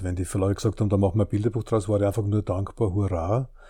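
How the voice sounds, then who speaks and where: Talking at a very fast pace, a man uses a fairly low, somewhat breathy voice with a dark, mellow tone and fairly even intonation, in a very clean recording with a silent background. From Austria, southern Burgenland. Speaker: children's book author. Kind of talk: casual interview. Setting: at his home.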